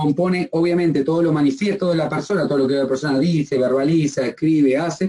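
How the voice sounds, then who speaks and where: Here a man is speaking, his voice fairly high in pitch. He keeps up a fairly quick pace. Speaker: psychology lecturer. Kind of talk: lecture. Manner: fast.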